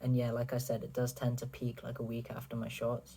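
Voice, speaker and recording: A man talks with a somewhat breathy voice and a dark, mellow tone. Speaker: vlogger. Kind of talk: casual vlog update. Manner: casual, filler-heavy.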